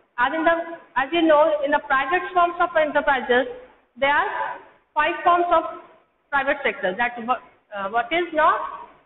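A woman's high-pitched voice with lively intonation at a moderate pace, plus audible room echo and light background noise. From India. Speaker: school teacher. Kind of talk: lecture. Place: classroom. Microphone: camera far.

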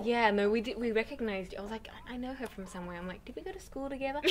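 A woman with an Australian accent at a very fast pace, lively intonation, big swings in loudness, and light background noise. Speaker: singer. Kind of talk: interview answer. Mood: cheerful, chatty. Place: home room.

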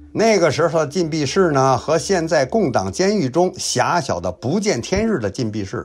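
A man's fairly high voice with very wide pitch swings and vocal fry. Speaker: YouTube history storyteller. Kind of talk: storytelling narration. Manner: lively, colloquial storyteller style.

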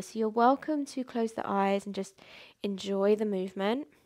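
A soft-spoken woman's voice with a gentle tone and ordinary pitch variation, against a quiet background. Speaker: yoga instructor. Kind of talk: guided mindful movement class, like a guided meditation. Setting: video class, home studio. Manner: soft, slow, soothing and calm; gentle, encouraging, unhurried with pauses. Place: home room.

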